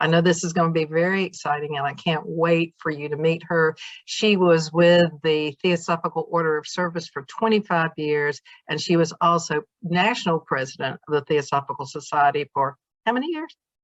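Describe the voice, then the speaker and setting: Speaking at a moderate pace with fairly even intonation, a woman talks in a Southern US accent. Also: fairly low pitch for a woman. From US South. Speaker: interviewer. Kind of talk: interview.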